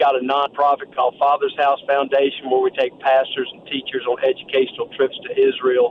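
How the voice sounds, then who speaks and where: With noticeable background noise, a man in an American accent speaks at a fairly quick pace with big swings in loudness. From Texas. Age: 70s. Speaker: businessman and ministry founder. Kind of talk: interview testimony.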